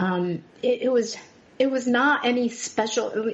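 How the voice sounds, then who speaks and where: Noticeable background noise sits behind a woman's fairly high voice with ordinary pitch variation. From Taiwan. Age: 40s. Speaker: podcast guest. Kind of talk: personal testimony in interview. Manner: halting, many fillers and restarts.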